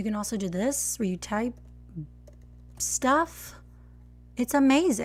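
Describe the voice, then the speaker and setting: With music in the background, the speaker talks very slowly in an American accent, leaving long, frequent pauses. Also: woman. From Texas. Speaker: barista and latte art coach. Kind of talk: live stream tutorial critique. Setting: live stream. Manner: casual, chatty.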